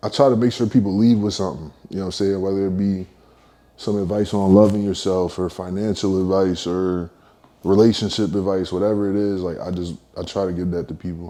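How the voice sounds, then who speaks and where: The voice has a dark, mellow tone and fairly even intonation at a fairly quick pace. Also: man, very deep, low pitch for a man. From Philadelphia, US. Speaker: rapper. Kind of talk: interview. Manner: casual, filler-heavy.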